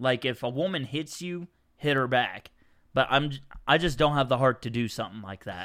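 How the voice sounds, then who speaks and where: This man speaks at a fairly quick pace with a medium pitch and ordinary pitch variation. His tone is bright and sharp, and the recording is very clean with a silent background. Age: 20s. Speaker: guest, childhood friend of host. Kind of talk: casual chat. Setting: host's home.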